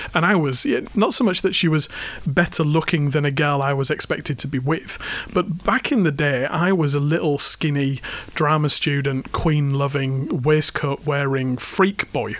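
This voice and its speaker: Here a man with an English accent and a fairly high pitch speaks at a moderate pace. Background noise is noticeable. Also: ordinary pitch variation. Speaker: podcast co-host. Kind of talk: casual banter chat. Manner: stutters a little, halting at times.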